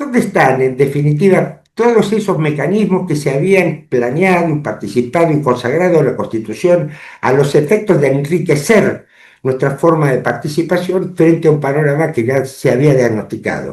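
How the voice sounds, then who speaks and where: A somewhat breathy man's voice, fairly high in pitch, with lively intonation, very even loudness, and a moderate pace. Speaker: lawyer and public affairs commentator. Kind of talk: interview. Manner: formal.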